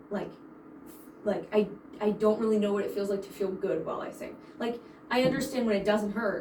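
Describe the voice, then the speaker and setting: The speaker moves at a fairly quick pace with ordinary pitch variation but takes long, frequent pauses. Noticeable background noise and audible room echo are present. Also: woman, fairly high pitch for a woman, big swings in loudness. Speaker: voice student. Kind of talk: voice lesson. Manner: halting.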